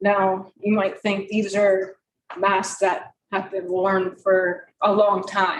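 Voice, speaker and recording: The pace is very slow. The intonation stays monotone and flat. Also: woman, medium pitch for a woman. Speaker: parent speaking at public comment. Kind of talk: public comment statement. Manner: soft-spoken; halting, many ums.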